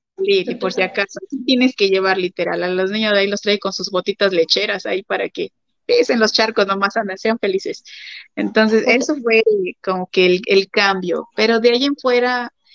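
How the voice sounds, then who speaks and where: The speech moves at a moderate pace. Its pitch shifts in an ordinary way. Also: woman, medium pitch for a woman. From Mexico. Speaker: missionary's wife. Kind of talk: interview. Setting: livestream.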